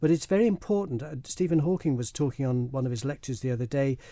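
A man with a Manx accent speaks at a fairly high pitch with lively intonation and a dark, mellow tone. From Isle of Man. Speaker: filmmaker and broadcaster. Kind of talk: radio interview.

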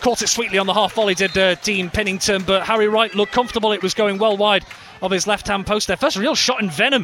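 A man speaks in an energetic tone at a very fast pace, his high voice raised and projected, with ordinary pitch variation. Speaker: football match commentator. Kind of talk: live football commentary. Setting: stadium commentary for radio. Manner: fast, energetic play-by-play delivery; rising excitement at goals and near misses.

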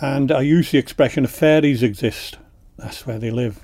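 A dark, mellow tone with a Manx accent. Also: man. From Isle of Man. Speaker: poet. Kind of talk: poetry reading; radio interview. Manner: halting.

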